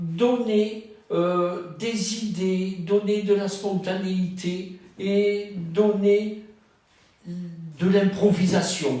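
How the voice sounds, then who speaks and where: Over noticeable background noise and audible room echo, a man talks at a high pitch and a very slow pace. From southern France, Cannes. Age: 70s. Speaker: retired trainer and wellbeing practitioner. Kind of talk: dating profile interview. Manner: measured, with hesitations.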